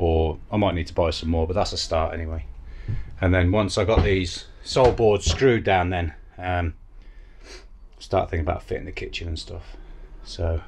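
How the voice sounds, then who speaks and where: Speech at a moderate pace comes with long, frequent pauses and light background noise. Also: man. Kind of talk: casual vlog chat. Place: boat. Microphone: phone near.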